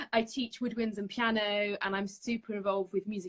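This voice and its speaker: With a London accent, a woman speaks at a fairly high pitch using fairly even intonation. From North London, England. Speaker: saxophonist and music teacher. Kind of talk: casual interview. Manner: hesitant, many fillers.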